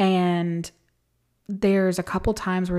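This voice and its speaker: A woman speaks in a fairly low pitch with a dark, mellow tone. The recording is very clean, with a silent background. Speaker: podcast host and book reviewer. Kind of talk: solo podcast monologue, book review. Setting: recording at home in an echoey room. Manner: occasionally stumbles over words.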